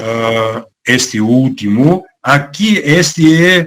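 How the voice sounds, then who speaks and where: A man's fairly high voice with a Bulgarian accent. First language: Bulgarian (speaking Portuguese). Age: 70s. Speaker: author. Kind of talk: talk. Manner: halting, many fillers.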